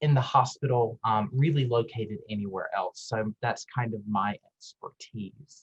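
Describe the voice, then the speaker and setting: Somewhat breathy, a man talks at a medium pitch with a Southern US accent. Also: dry, close sound with no echo. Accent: Southern US, persistent. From US South. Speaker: pharmacist and admissions director. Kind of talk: presentation. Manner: animated.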